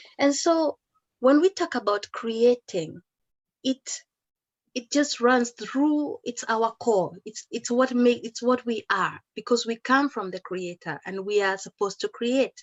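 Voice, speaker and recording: A woman with a Kenyan accent speaks at a fairly slow pace and a high pitch, with lively intonation and big swings in loudness. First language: Kikuyu. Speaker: educator and musician. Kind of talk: talk at an online celebration.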